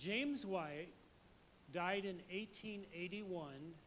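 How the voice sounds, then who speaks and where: A man's high-pitched voice at a fairly slow pace, with ordinary pitch variation and audible room echo. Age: 70s. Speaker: pastor. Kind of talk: sermon.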